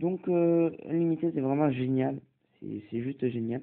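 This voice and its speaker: This man has a medium pitch. His pitch variation is ordinary. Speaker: tech tutorial youtuber. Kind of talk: tutorial. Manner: hesitant, many fillers.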